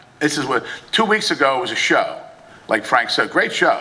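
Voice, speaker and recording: A man with an American accent at a moderate pace and ordinary pitch variation, with audible room echo and noticeable background noise. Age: 60s. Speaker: boxing promoter. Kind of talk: press conference speech. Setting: press conference.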